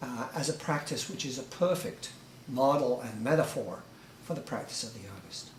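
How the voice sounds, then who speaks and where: A man with an English accent speaks at a moderate pace and a fairly high pitch, with ordinary pitch variation and big swings in loudness. Audible room echo and noticeable background noise surround him. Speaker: author. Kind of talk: group discussion. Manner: halting, many repeated words.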